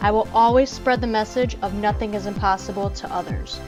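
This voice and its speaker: A woman talks while music plays in the background. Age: 20s. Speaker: entrepreneur. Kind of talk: motivational podcast talk.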